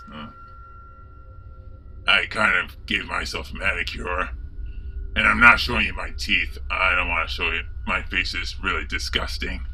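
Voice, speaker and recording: In a put-on character voice, a man speaks at a moderate pace with long, frequent pauses, and clear background noise is present. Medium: solo performance. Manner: gleeful, villainous cackling.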